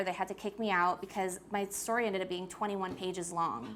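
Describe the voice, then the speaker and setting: Animated in tone, a woman with a New York accent talks at a fairly quick pace. The recording is very clean, with a silent background. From US Northeast, Queens, New York. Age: 20s. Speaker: author. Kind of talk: talk to a school audience. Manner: casual, animated.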